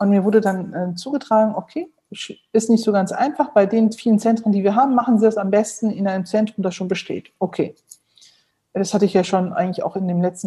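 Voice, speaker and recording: Speaking at a very fast pace, a woman with a medium-pitched, somewhat breathy voice and a dark, mellow tone uses ordinary pitch variation. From Germany, Neuss (Rhineland). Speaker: heart surgeon. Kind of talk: interview.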